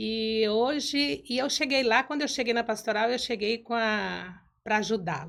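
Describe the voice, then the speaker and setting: On a very clean recording with a silent background, a woman with fairly high pitch and an unremarkable speaking voice talks at a fairly slow pace with lively intonation and hardly any pauses. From Brazil, Mato Grosso. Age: 60s. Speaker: church ministry coordinator. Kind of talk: testimony.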